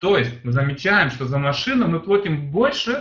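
A man's fairly high voice with lively intonation. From Germany (moved from Uzbekistan at age 7). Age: 30s. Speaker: sales presenter. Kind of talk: sales pitch. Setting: online presentation. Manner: halting, many fillers.

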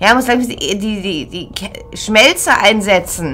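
Over faint background noise, a woman speaks at a medium pitch and moderate pace, with a fairly bright tone and lively intonation.

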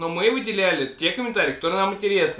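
A raised, projected voice carries ordinary pitch variation, with audible room echo around it. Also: man. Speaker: family channel host. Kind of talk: casual vlog chat. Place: home room.

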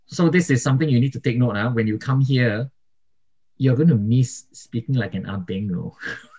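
Somewhat breathy, a man speaks with a dark, mellow tone at a fairly quick pace. His pitch varies in an ordinary way over a quiet background. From Singapore. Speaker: YouTuber and migration vlogger; podcast co-host. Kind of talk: casual chat. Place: home room. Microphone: studio mic.

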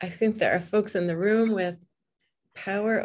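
This woman's voice is fairly high-pitched, and she talks at a moderate pace. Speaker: librarian and event moderator; event moderator. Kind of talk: moderating an online panel event. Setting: video call. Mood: warm, engaged. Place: home room. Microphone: webcam.

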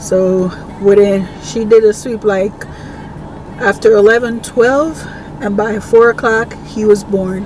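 With music in the background, a woman speaks at a very slow pace in a monotone, flat intonation, the sound dry with no echo. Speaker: vlogger. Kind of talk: casual vlog chat. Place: car. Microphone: phone near.

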